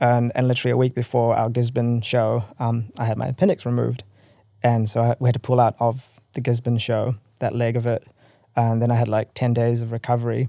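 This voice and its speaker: A man with a New Zealand accent speaks at a fairly quick clip in a dark, mellow tone, his medium pitch held flat and monotone. The sound is dry and close with no echo, and the background is quiet. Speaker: rock band vocalist. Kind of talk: casual interview chat.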